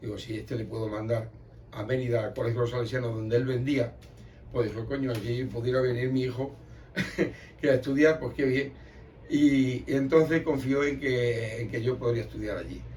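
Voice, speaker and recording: Somewhat breathy, a man speaks at medium pitch and a moderate pace with fairly even intonation. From Extremadura, Spain. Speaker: emigrant, folk group member. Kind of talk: oral history interview answer.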